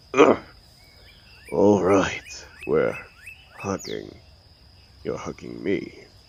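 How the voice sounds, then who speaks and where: Long, frequent pauses break up a man's very slow delivery in a put-on character voice. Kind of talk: comfort audio roleplay. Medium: audio drama. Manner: dry, controlled, sardonic.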